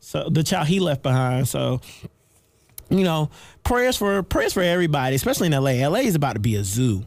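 Very clean with a silent background, the recording carries an animated tone at a fairly quick pace. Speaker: podcast host. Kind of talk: casual chat.

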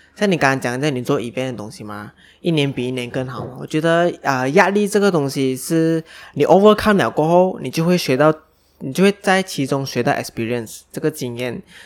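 Here is a man with an unremarkable speaking voice. His pitch is fairly high. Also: fairly quick pace. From Malaysia. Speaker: podcast co-host. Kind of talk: casual chat.

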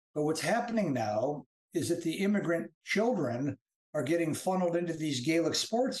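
The pace is fairly quick as a man talks. He has a fairly high pitch. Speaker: author and English professor. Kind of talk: casual chat. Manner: halting.

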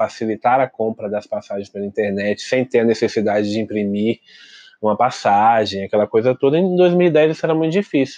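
A man's dark, mellow voice at medium pitch, with ordinary pitch variation and a dry, close sound free of echo. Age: young. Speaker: podcast co-host, traveler. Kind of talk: casual chat.

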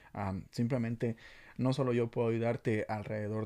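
A man speaks at a moderate pace with a medium pitch and a dark, mellow tone. His intonation is monotone and flat, on a very clean recording with a silent background. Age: 20s. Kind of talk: casual youth devotional talk. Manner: halting, many fillers and repetitions.

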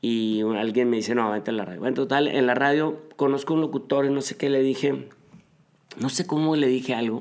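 Medium pitch and ordinary pitch variation in a man's a normal speaking voice. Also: fairly quick pace. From northern Mexico, Monterrey area. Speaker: marketing and PR consultant. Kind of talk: interview.

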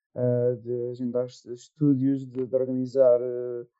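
A man speaks at a fairly slow pace. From Torres Vedras, Portugal. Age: young. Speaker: jazz guitarist and composer. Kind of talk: casual chat.

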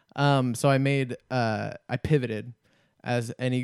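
A man speaks at a medium pitch in a monotone, flat manner. The recording is very clean with a silent background, dry and close with no echo. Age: 20s. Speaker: comedy podcast co-host. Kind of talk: casual chat.

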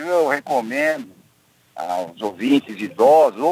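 A man speaks at a very slow pace with a fairly high pitch and lively intonation. The sound is dry and close, with no echo. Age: 60s. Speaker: engineer. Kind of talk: live radio interview. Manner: halting.

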